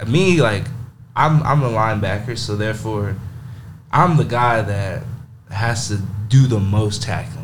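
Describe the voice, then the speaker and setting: A man's medium-pitched voice with an American accent, with audible room echo. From Texas, Monahans. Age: 20s. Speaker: college football player, linebacker. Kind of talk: casual interview.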